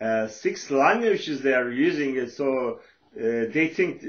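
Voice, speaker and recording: A man with a Turkish accent at a moderate pace, with ordinary pitch variation. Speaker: social worker and author. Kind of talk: lecture. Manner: halting, many fillers.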